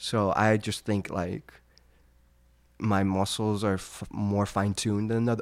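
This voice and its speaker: An ordinary speaking voice from a man with an American accent, fairly low in pitch, with fairly even intonation and a fairly slow pace, on a very clean recording with a silent background. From California (San Francisco, Los Angeles). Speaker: classical violinist. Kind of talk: casual interview.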